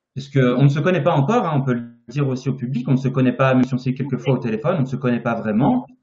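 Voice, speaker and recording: A man talks at a very fast pace with hardly any pauses, his medium pitch held in fairly even intonation. His voice is somewhat breathy. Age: 30s. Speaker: naturopathy teacher and interviewer. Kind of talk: live-stream interview. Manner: hesitant, many fillers.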